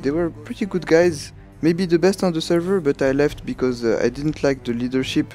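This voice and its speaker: A man with a fairly high voice talks at a fairly quick pace with ordinary pitch variation. Music plays in the background. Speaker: gaming commentator, squad leader. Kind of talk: gameplay tutorial commentary.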